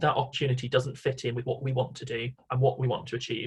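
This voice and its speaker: A man talks at a very fast pace in a medium pitch. His voice is somewhat breathy. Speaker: volunteer coordinator. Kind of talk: conference presentation.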